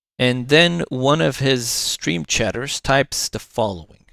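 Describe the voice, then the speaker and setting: In a very clean recording with a silent background and a dry, close sound free of echo, a man with a non-native accent speaks at a moderate pace with lively intonation. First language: not English. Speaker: commentary youtuber. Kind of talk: reaction commentary.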